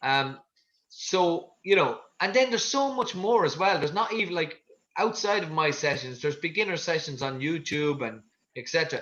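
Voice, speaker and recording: A man speaks with lively intonation. His pitch is high. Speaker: fitness coach. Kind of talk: online fitness class talk. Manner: fast.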